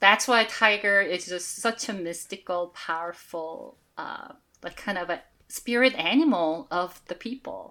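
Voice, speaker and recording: The speech moves at a fairly slow pace with a slight Korean accent and ordinary pitch variation. A bright, sharp tone comes with big swings in loudness. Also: woman. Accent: Korean-American English, slight Korean. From South Korea. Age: 40s. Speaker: shaman and oracle deck creator. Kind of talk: interview.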